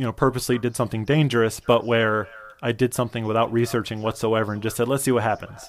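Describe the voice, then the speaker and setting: A man speaks very fast at a medium pitch. He has a Midwestern American accent. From US Midwest, Michigan. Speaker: cartoonist and writer. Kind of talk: casual interview chat. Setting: video call.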